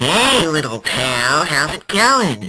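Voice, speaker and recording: This is a cartoonish character voice. It sits at a low-to-middle pitch. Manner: eager, chatty.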